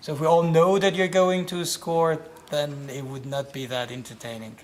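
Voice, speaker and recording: A man with an Iranian accent, fairly high in pitch, at a moderate pace with ordinary pitch variation. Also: big swings in loudness. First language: Farsi. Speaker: playwright and director. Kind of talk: interview.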